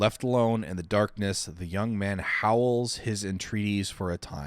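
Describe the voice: The speaker delivers a plain reading aloud.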